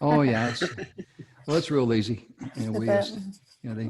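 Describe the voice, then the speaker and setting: A man with a medium pitch speaks fairly quickly, with ordinary pitch variation. Noticeable background noise runs under the recording. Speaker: former radio host; live stream host.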